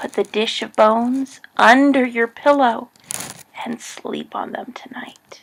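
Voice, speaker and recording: The woman uses a put-on character voice pitched high. Her pace is fairly slow. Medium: read story.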